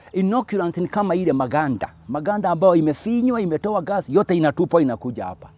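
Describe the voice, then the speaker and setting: A man speaks at a moderate pace in a high voice with lively intonation and a dark, mellow tone, the sound dry with no echo. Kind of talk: tutorial. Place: farm machine. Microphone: lapel.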